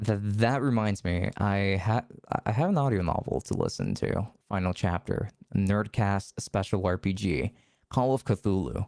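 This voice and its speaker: Recorded dry and close with no echo against a silent background, the very clean clip has very even loudness, ordinary pitch variation and a fairly slow pace. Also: man, fairly low pitch for a man. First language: not English. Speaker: streamer. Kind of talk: casual chat. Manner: halting.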